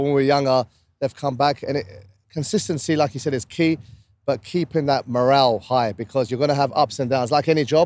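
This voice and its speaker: A man with a British accent talks at a very fast pace in a fairly high pitch with ordinary variation. The sound is dry and close, with no echo. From UK. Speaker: podcast co-host. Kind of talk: casual chat. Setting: outdoors on a rooftop.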